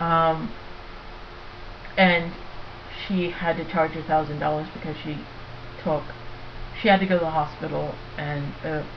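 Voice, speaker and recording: Over noticeable background noise and audible room echo, a woman speaks at a moderate pace with long, frequent pauses. Her very deep, low voice stays monotone and flat. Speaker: vlogger. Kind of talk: casual webcam monologue. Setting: laptop webcam recording. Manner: halting, many fillers.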